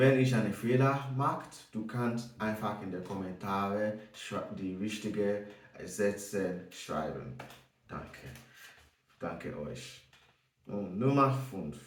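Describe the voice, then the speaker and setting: With audible room echo, a man with a non-native accent speaks very slowly with ordinary pitch variation and long, frequent pauses. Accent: non-native German, noticeable. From Nigeria. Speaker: German learner vlogger. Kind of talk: casual self-introduction vlog. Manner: halting, many hesitations.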